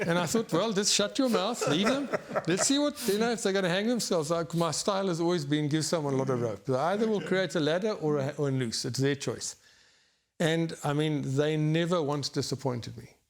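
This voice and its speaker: Lively intonation marks this man's high-pitched voice. He talks at a fairly quick pace. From South Africa. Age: 60s. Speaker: retired banker, property finance veteran. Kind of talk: interview. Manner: halting, with frequent restarts.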